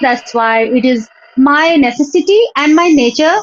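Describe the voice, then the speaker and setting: A woman's voice rises and falls in lively intonation. She is high-pitched, with noticeable background noise. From India, Jharkhand (Dhanbad). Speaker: former college history lecturer. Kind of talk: casual conversation practice. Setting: video call. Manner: halting, with many fillers.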